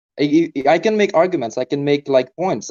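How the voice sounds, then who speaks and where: This man speaks at a fairly quick pace with lively intonation and a fairly high pitch. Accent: non-native. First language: not English. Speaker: caller arguing for God on a debate stream. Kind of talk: debate. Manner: hesitant, many fillers.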